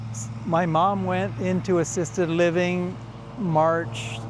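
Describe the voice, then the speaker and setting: A man with lively intonation at a very slow pace, amid audible room echo and noticeable background noise. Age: 60s. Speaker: retiree video host. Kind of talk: casual chat. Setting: mother's house. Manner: halting.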